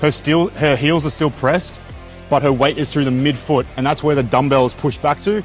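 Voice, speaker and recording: Fairly quick speech with music in the background. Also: man. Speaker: fitness coach. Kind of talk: exercise form tutorial.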